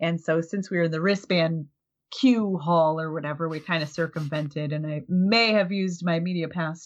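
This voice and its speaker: A woman talks at a fairly quick pace in an ordinary speaking voice with a fairly low pitch. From Minnesota. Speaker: podcaster, convention media. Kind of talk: casual chat.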